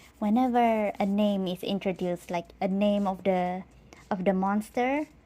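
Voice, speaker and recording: A woman's dark, mellow voice of medium pitch with a Malaysian accent, at a moderate pace with fairly even intonation. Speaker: live streamer and artist. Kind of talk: casual live stream chat. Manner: halting, repeats words.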